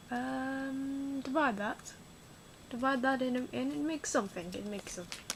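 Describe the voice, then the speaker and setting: A soft-spoken woman talks at a fairly slow pace with lively intonation, and noticeable background noise is present. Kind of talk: ASMR unboxing talk to camera.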